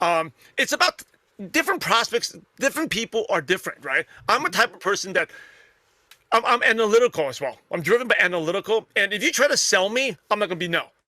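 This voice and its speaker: With a raised, projected voice, a man speaks at a very fast pace in a high, bright, sharp tone with very wide pitch swings, the sound dry and close with no echo. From New York (Brooklyn), US. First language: not English (English is third language). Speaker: network marketer and podcaster. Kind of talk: interview.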